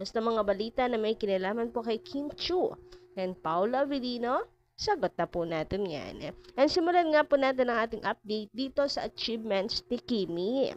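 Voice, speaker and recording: A woman's fairly high voice, animated in tone, with very wide pitch swings at a moderate pace. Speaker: showbiz gossip vlogger. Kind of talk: casual chat.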